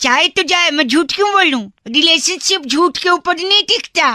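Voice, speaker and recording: Extremely high pitch at a moderate pace. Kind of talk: FM radio jockey. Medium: game stream. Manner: cheeky, teasing.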